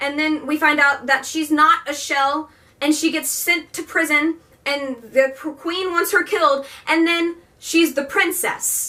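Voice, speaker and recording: A woman's high, bright, sharp voice, raised and projected, at a fairly slow pace. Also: ordinary pitch variation. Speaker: book reviewer. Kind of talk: casual book review vlog. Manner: animated.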